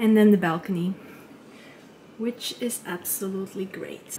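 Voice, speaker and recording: With a non-native accent, a woman speaks in a dark, mellow tone at a fairly slow pace. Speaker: travel vlogger. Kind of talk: casual vlog talk to camera.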